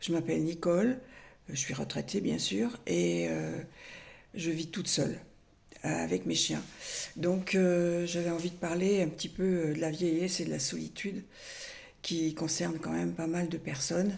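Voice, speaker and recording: Amid audible room echo, a woman speaks at a fairly slow pace with long, frequent pauses. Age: 70s. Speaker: retired vlogger. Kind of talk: personal vlog monologue. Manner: halting, many hesitations.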